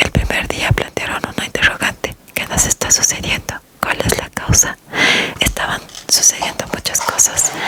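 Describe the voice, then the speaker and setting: A woman whispers at a fairly slow pace amid noticeable background noise. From Latin America. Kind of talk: ASMR audiobook reading. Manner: whispered, soft-spoken.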